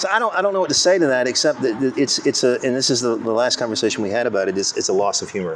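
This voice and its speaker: Very fast delivery with hardly any pauses, very wide pitch swings, and noticeable background noise. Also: man, medium pitch for a man. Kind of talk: casual chat. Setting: coffee shop. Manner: stutters at times.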